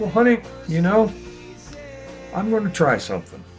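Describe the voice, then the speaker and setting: A man with a warm tone speaks with music in the background. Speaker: retired grandfather. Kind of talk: interview answer. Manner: warm, reminiscing.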